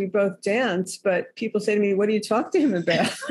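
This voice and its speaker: A woman talks at a very fast pace with an American accent. Her pitch is fairly high, and there is noticeable background noise. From New York City. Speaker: author. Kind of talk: casual interview chat.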